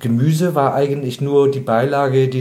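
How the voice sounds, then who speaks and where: A man speaks at a medium pitch, with audible room echo around him. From Bremen, northern Germany. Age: 50s. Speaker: animal rights activist, trained butcher. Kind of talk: interview.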